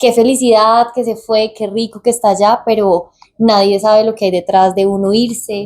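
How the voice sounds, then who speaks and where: A woman talks at a fairly slow pace and medium pitch. Her intonation is monotone and flat. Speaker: podcast co-host. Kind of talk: casual podcast chat.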